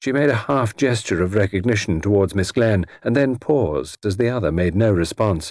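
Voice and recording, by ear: Someone reads text aloud using a natural voice.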